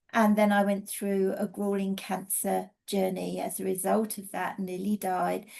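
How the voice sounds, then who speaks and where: A woman's medium-pitched, monotone delivery, fairly slow yet with hardly any pauses and flat intonation throughout. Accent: English. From England. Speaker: energy healing teacher and mentor. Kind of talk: casual webinar presentation.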